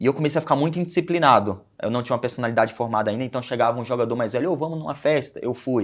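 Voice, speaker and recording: With a northeastern Brazilian accent, a man talks at a very fast pace with hardly any pauses, a medium pitch and ordinary pitch variation against a quiet background. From Brazilian Northeast, Aracaju (Sergipe). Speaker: former youth footballer. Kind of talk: interview.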